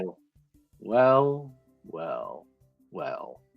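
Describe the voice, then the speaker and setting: Someone performs a put-on character voice over faint music in the background. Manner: menacing, theatrical, drawn out.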